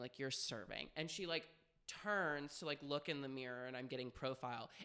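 With a bright, sharp and animated tone, a man speaks at a fairly high pitch with ordinary pitch variation. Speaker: podcast host. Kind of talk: casual banter. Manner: fast talker; animated, jokey.

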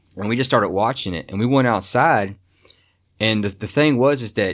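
On a very clean recording with a silent background, a man speaks with a Kentucky accent and ordinary pitch variation. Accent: Kentucky Southern. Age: 30s. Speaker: paranormal investigator. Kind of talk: interview storytelling. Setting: studio.

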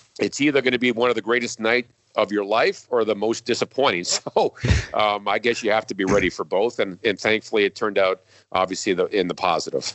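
A man with an American accent has a normal speaking voice, a medium pitch and fairly even intonation at a fairly quick pace. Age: 50s. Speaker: hockey TV play-by-play announcer. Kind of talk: casual interview.

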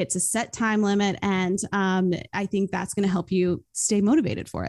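Here is a woman with an American accent and an ordinary speaking voice at a medium pitch. The recording is very clean, with a silent background. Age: 20s. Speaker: YouTuber and student entrepreneur. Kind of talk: podcast interview.

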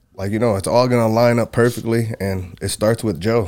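A man talks at a moderate pace at a medium pitch. He has a plain, everyday voice. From Michigan. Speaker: mixed martial arts fighter. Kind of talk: casual chat.

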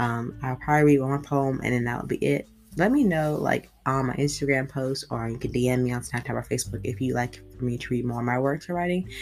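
Against noticeable background noise, a woman with a very deep, low voice and ordinary pitch variation talks at a fairly quick pace with hardly any pauses. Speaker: podcast host and amateur poet. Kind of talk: poetry reading, read aloud from written pages. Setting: home recording, solo podcast. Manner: warm, casual, chatty when introducing.

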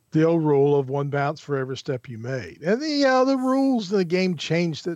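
This man has an ordinary speaking voice with fairly high pitch, talking at a moderate pace with lively intonation. The background is quiet. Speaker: sports commentator. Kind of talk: casual chat.

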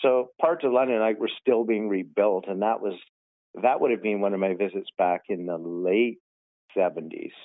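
Man with a Canadian accent, a normal speaking voice, fairly low pitch, ordinary pitch variation and a moderate pace. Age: 50s. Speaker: realtor. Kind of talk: casual interview chat.

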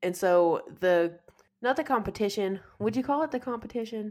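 A woman at a fairly high pitch and a moderate pace, an ordinary speaking voice. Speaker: podcast co-host. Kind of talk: casual chat, movie discussion.

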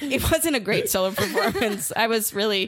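Over noticeable background noise, a woman with an American accent talks at a moderate pace, her fairly high pitch carried by lively intonation. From US Midwest (northern suburb of Chicago). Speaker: comedian. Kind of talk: casual chat.

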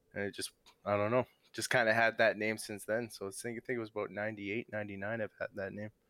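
A man talks very fast in a fairly low voice with a bright, sharp tone and flat, monotone intonation. The sound is dry and close, with no echo. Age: 40s. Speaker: StarCraft player. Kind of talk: casual chat. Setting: live stream.

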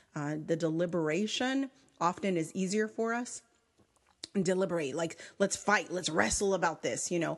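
A woman talks at a moderate pace in a fairly low pitch. Her intonation is lively. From US, Mexican-American family. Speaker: conflict resolution center director. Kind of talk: podcast interview.

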